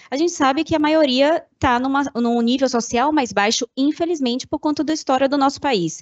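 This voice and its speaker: A woman is speaking here. Her pace is moderate. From Salvador, Bahia, Brazil. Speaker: corporate communication manager. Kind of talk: panel discussion.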